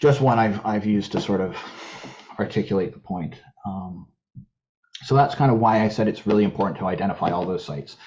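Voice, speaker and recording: A man with a Canadian accent, fairly low in pitch and fairly quick in pace, with ordinary pitch variation and long, frequent pauses. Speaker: invasive species contractor, presenter. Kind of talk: webinar presentation. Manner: fast; halting, frequent repetitions.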